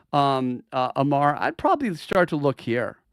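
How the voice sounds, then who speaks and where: A man's fairly high voice with ordinary pitch variation, dry and close with no echo, on a very clean recording with a silent background. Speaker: crypto market analyst. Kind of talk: live stream market analysis. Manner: fast; animated.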